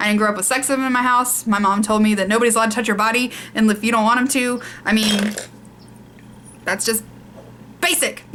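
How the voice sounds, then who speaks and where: A woman with a Southern US accent, fairly high pitch and fairly even intonation, at a very fast pace broken by long, frequent pauses. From US South. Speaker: beauty vlogger. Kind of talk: casual chat.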